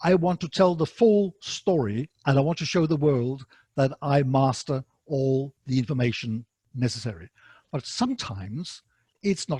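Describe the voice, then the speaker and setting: A man speaks at a moderate pace with a fairly high pitch, somewhat breathy, and with lively intonation. The sound is dry and close, with no echo. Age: 60s. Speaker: academic writing instructor. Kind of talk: lecture. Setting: online webinar. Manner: halting, many fillers.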